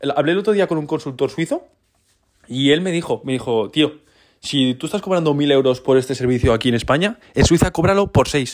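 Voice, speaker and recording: In a very clean recording with a silent background, a man talks at a fairly quick pace in an unremarkable speaking voice, fairly high in pitch with ordinary pitch variation. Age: 20s. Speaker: entrepreneur podcaster. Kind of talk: casual solo podcast monologue.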